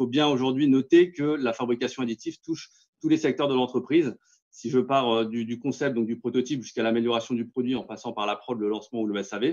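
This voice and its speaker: Very fast male speech at medium pitch with fairly even intonation. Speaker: company representative pitching 3D printing solutions. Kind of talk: business pitch in webinar. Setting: webinar. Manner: hesitant, many fillers.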